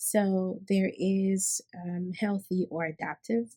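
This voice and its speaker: A woman's somewhat breathy, dark, mellow voice in an American accent, with a dry, close sound and no echo. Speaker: healthcare worker and vlogger. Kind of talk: unscripted personal talk with teaching. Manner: hesitant, many fillers and restarts.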